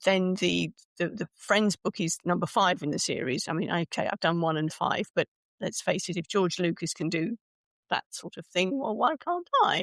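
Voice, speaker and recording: A woman with a British accent at a medium pitch and moderate pace, ordinary pitch variation, in a dry, close sound with no echo. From UK. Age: 60s. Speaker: speaker coach and author. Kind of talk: podcast interview.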